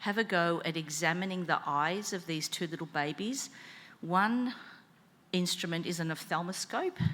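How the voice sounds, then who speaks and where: A woman with a fairly low pitch speaks in a bright, sharp tone at a moderate pace, her pitch varying in an ordinary way. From Australia, Melbourne. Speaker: conference session chair, eye specialist. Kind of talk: conference moderation.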